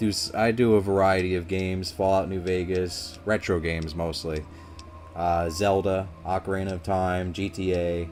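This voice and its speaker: Music plays in the background as a man speaks at a moderate pace. His voice is very deep and low, with monotone, flat intonation. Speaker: gaming streamer. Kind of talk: live gameplay commentary. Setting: live stream. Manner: mumbling at times.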